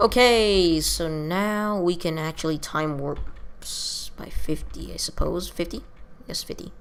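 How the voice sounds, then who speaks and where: A woman talks at a fairly slow pace. Her voice carries audible room echo. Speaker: gaming video creator. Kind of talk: let's play commentary. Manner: halting, many fillers.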